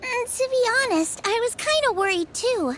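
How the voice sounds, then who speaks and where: A squeaky, put-on character voice comes at an extremely high pitch and a moderate pace. Clear background noise is present. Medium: video game. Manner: warm, chatty, earnest.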